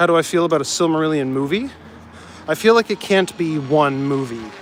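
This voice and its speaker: A man talks fairly quickly with a Canadian accent in an unremarkable speaking voice. His pitch is fairly high, with ordinary variation. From Canada, northern Ontario (North Bay). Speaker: live streamer. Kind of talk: casual chat. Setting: outdoors.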